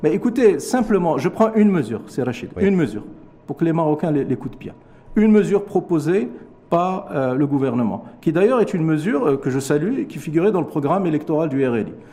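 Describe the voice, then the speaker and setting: A man with a high voice talks fairly quickly, his pitch swinging very widely, with noticeable background noise behind him. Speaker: economist. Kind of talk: TV interview. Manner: formal.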